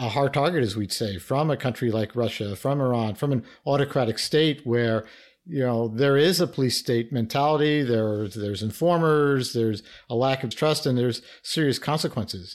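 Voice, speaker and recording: At a moderate pace, a man speaks in a normal speaking voice of medium pitch with ordinary pitch variation, captured in a very clean recording with a silent background. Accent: American. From US Northeast, New York (Bronx). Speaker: retired intelligence officer. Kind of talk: interview.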